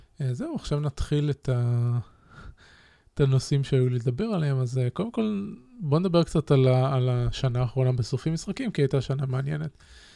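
The tone is dark and mellow, with lively intonation. The pace runs fairly quick. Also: man, medium pitch for a man. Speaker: podcast host. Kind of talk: solo podcast monologue with listener Q&A. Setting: live-streamed studio recording.

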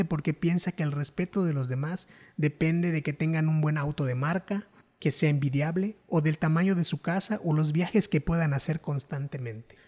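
The speaker keeps a moderate pace in a very clean recording with a silent background. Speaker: podcaster. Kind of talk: scripted narration.

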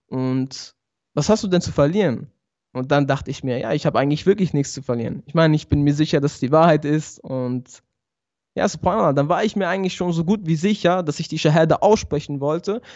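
A man talks with a normal speaking voice at a fairly high pitch. His pace is fairly quick, with ordinary pitch variation. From Switzerland, Basel. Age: 20s. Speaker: barber and YouTuber, convert to Islam. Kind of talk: interview testimony. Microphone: good audio equipment.

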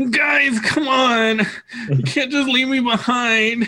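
A put-on character voice, fairly high in pitch, whiny in tone and whiny throughout, at a fairly slow pace. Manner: super whiny.

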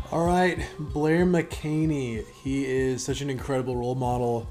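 Music plays in the background as a man speaks at a medium pitch in an enthusiastic tone. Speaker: podcast host. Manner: casual, enthusiastic.

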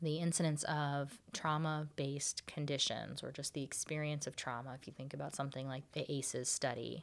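At a moderate pace, a woman with an American accent talks in a very deep, low pitch with fairly even intonation. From Florida. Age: 30s. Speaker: occupational therapist. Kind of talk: interview conversation.

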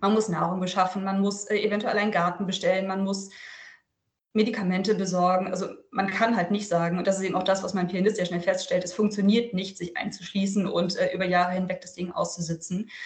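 In a somewhat breathy monotone with flat intonation, the speaker moves at a fairly quick pace amid audible room echo. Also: woman, medium pitch for a woman. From northern Germany, Lüneburg Heath. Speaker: author and journalist. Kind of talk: interview.

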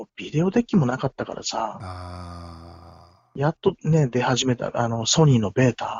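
A man talks at a medium pitch and a fairly slow pace, somewhat breathy. His voice makes very wide pitch swings and big swings in loudness. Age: 50s. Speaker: musician. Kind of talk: casual chat. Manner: animated.

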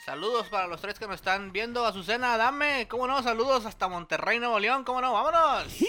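A man with an extremely high pitch talks in a raised, projected voice at a fairly quick pace, with hardly any pauses and ordinary pitch variation. Noticeable background noise is present. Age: 30s. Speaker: podcast co-host. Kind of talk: casual chat. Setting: studio.

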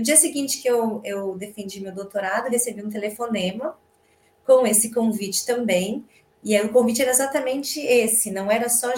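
Pitched fairly high with ordinary variation, a woman in an ordinary speaking voice keeps to a moderate speed. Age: 40s. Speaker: project management head and researcher. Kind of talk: casual chat.

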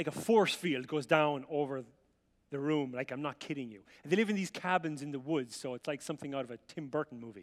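An animated man speaks fairly quickly at a fairly high pitch, with ordinary pitch variation and big swings in loudness. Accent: Irish. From Ireland. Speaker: visiting preacher. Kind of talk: sermon. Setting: church with audience.

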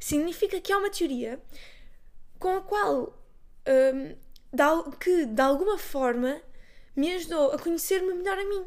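A woman with a European Portuguese accent at an extremely high pitch, animated in tone with lively intonation, a fairly slow pace and long, frequent pauses. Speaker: podcaster. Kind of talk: casual solo monologue. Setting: bedroom at home.

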